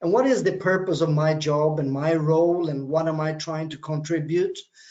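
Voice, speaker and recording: A fairly slow pace with ordinary pitch variation. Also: man. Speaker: business lecturer. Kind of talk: webinar talk. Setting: online webinar. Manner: hesitant with fillers.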